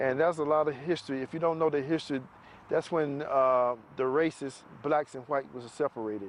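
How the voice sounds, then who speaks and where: With an American accent, a man talks at a fairly quick pace in a fairly high pitch. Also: fairly even intonation. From US South, Macon, Georgia. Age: 50s. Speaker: retired army soldier. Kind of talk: testimony. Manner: halting, many fillers.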